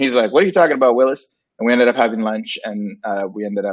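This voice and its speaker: This man speaks with a Spanish accent. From Puerto Rico / Dominican Republic. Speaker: graphic designer and agency founder. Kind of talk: interview. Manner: casual, many fillers.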